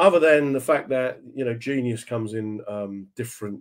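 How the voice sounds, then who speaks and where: Behind the man's speech, the background stays quiet. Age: 50s. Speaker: comedian and online radio host; comedian, online radio host. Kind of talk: casual chat. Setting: video call. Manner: animated. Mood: warm, reflective. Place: home room. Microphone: webcam.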